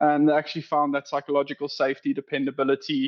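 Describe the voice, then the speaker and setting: A man with a South African accent speaks at a fairly high pitch. His intonation is fairly even, and the sound is dry and close, with no echo. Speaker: operations director. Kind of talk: podcast interview.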